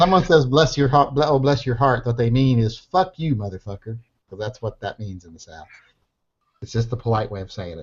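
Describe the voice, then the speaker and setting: A man speaks at a medium pitch with a somewhat breathy sound and a fairly quick pace. His loudness swings widely. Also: lively intonation. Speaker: online show host. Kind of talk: casual chat.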